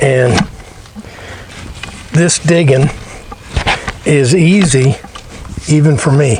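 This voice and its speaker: A man's fairly high voice with an American accent, very slow and broken by long, frequent pauses, with ordinary pitch variation and noticeable background noise. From US Midwest. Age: 70s. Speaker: DIY home repair vlogger. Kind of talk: casual how-to vlog narration.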